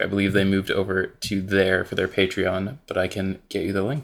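Delivered at a moderate pace, this is an unremarkable speaking voice. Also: man. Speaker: Magic: The Gathering streamer and writer. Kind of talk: casual podcast discussion of game strategy.

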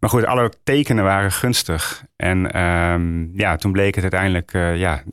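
Recorded very cleanly with a silent background, a man speaks at a fairly slow pace in a very deep, low pitch. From northern Netherlands, Roden (Drenthe). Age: 40s. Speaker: author and Dutch teacher. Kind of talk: interview about grief. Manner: halting, many fillers.

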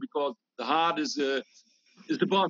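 With a Dutch accent, a man speaks in a high pitch with lively intonation. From Netherlands. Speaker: breathwork teacher. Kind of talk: interview.

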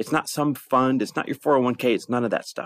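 The recording of a man speaking has a dry, close sound with no echo. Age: 40s. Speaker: podcast host and investor. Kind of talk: casual chat. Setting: on a road trip stop at home.

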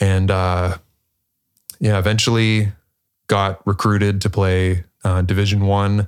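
A man with an American accent and a fairly low voice speaks at a fairly slow pace in a monotone, flat intonation at very even loudness, leaving long, frequent pauses on a very clean recording with a silent background. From Pittsburgh, Pennsylvania, US. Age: 20s. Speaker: former college athlete. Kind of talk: casual chat.

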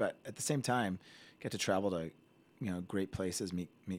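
A man with a General American accent speaks at a fairly quick pace in a very deep, low pitch. The recording is very clean with a silent background. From Colorado, US (Indian-American family, moved from Ohio). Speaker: physician. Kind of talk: casual chat.

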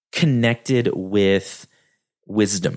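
The recording is very clean, with a silent background. A man speaks at a very slow pace. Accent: slight West Texas. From West Texas. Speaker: podcast host. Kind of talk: solo educational podcast monologue. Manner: talkative, casual with fillers.

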